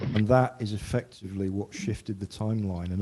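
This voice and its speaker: A soft-spoken man at a fairly quick pace, with fairly even intonation. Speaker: council staff presenting a report. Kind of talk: council meeting report presentation.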